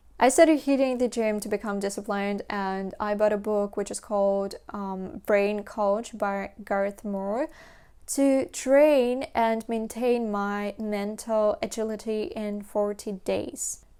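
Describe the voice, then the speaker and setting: With a non-native accent, a woman speaks at a very slow pace in a dark, mellow tone, with hardly any pauses. Her pitch varies in an ordinary way, and the recording is very clean with a silent background. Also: fairly high pitch for a woman. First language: Russian. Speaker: language learning vlogger. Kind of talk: casual talk to camera.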